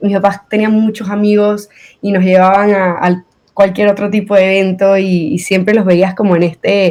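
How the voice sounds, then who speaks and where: The speaker is a woman with a medium pitch. She keeps a moderate pace. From Venezuela. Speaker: guest, accident survivor. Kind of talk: interview podcast.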